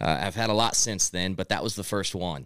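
With a Midwestern American accent, a man speaks at a fairly quick pace in a fairly low pitch with ordinary pitch variation, recorded very cleanly against a silent background. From Missouri, US Midwest. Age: 20s. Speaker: entrepreneur. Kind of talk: casual interview. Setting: studio.

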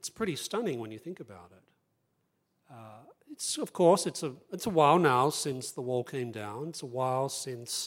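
Speech at a moderate pace comes through on a very clean recording with a silent background. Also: man. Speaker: think tank research director and panelist. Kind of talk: panel talk, public speech. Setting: live event with audience.

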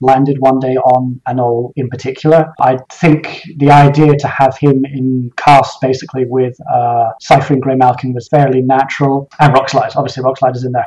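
Against noticeable background noise, the voice keeps a fairly even intonation. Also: man. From Scotland, Highlands. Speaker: novelist. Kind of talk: interview.

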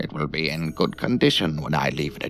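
Putting on a character voice, a man speaks at a very deep, low pitch over clear background noise. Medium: audio drama. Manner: curt, businesslike.

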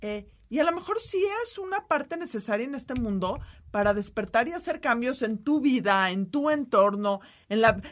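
This speaker has a Mexican accent and a moderate pace. The pitch swings very widely. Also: woman, high pitch for a woman. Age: 40s. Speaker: podcast co-host. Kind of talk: casual chat. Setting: studio.

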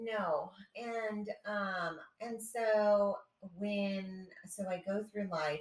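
A woman with music in the background. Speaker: podcast co-host. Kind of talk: casual chat.

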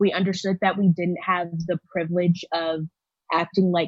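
A woman's fairly low voice with an American accent and flat, monotone intonation. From Texas, Houston. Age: 20s. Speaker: university student. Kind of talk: personal testimony.

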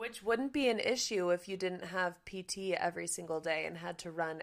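An ordinary speaking voice with an American accent, at a moderate pace with ordinary pitch variation. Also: woman. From California. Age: 20s. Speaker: podcast host and equine dentist. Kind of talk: casual interview chat.

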